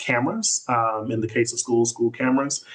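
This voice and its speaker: The intonation is monotone and flat, set against a quiet background. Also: man. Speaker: tech justice advocate. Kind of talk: webinar presentation. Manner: loud; casual with many fillers.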